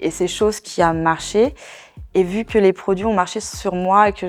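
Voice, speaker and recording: A woman speaks at a fairly low pitch in a flat monotone. The recording is very clean, with a silent background. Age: 40s. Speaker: network marketing seller. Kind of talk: testimony. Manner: hesitant, many fillers.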